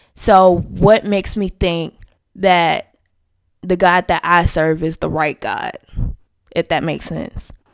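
This woman talks very slowly, leaving long, frequent pauses. Her fairly low voice keeps a fairly even intonation, recorded dry and close with no echo. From US South. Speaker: podcast co-host. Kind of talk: casual chat.

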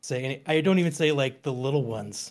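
This man's voice sits fairly high and shows ordinary pitch variation. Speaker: video game YouTuber. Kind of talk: casual chat.

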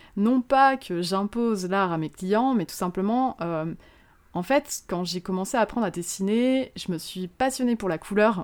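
A woman's plain, everyday voice, medium in pitch, with lively intonation and a fairly slow pace, on a very clean recording with a silent background. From Moselle, eastern France. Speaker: illustrator and motion designer. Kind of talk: interview.

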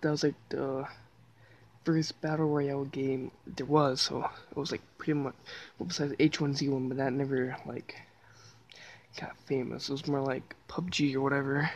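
With long, frequent pauses, a woman speaks at a moderate pace in a very deep, low pitch, her intonation fairly even. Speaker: gaming streamer. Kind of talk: casual solo commentary. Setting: lying on the floor at home. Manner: halting, many fillers; stutter.

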